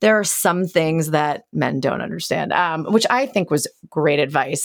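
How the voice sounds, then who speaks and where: A plain, everyday voice from a woman, fairly low in pitch, with ordinary pitch variation and a fairly slow pace, on a very clean recording with a silent background. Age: 40s. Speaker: podcast host and entrepreneur. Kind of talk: casual interview chat; scripted intro.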